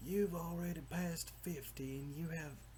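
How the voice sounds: In a put-on character voice with a Southern US accent, the speaker goes at a moderate pace over clear background noise. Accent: American country.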